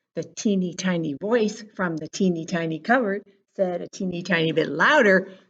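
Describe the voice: Over a quiet background, someone does plain reading aloud.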